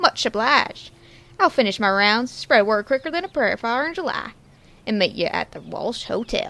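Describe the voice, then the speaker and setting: A woman's put-on character voice, high and drawling, at a moderate pace with very wide pitch swings. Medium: audio drama. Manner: folksy western drawl.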